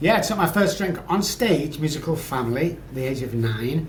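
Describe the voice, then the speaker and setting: A man talks at a moderate pace with lively intonation. Noticeable background noise and audible room echo are present. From England. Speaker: addiction psychologist. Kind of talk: podcast interview, personal story.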